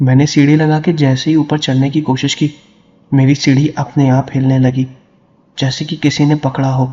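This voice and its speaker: Somewhat breathy, fairly high-pitched man's voice with monotone, flat intonation. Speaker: horror story narrator. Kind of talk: storytelling narration.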